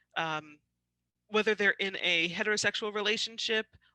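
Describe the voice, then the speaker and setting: A woman speaks at a medium pitch in a bright, sharp tone with ordinary pitch variation. The sound is dry and close with no echo, and the background is quiet. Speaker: trainer on dating violence. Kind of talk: educational webinar presentation. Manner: halting, many fillers.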